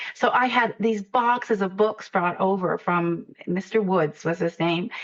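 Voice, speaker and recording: A woman's medium-pitched voice shows ordinary pitch variation, with noticeable background noise behind it. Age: 60s. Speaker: poet and children's author. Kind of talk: interview conversation.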